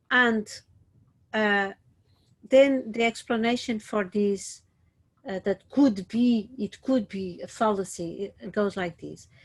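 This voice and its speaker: At a very slow pace with long, frequent pauses, a somewhat breathy woman speaks with fairly even intonation and big swings in loudness. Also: medium pitch for a woman. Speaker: teacher. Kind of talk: lecture. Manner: hesitant with many fillers.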